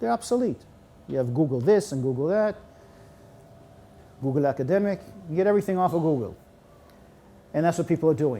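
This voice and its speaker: Very fast yet marked by long, frequent pauses, a man's fairly high voice with a dark, mellow tone swings very widely in pitch. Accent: American. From United States. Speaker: Holocaust educator and lecturer. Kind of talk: lecture.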